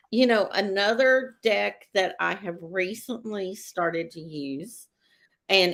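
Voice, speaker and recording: A woman with a Texas accent, medium in pitch, at a very slow pace, on a very clean recording with a silent background. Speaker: psychic show co-host. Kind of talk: casual chat.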